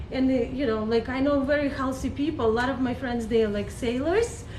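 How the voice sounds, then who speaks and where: Speaking in a high voice at a moderate pace, a woman is heard with audible room echo. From Belarus. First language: Russian. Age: 40s. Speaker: online skincare instructor. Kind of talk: live stream tutorial. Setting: live stream. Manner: halting, many fillers.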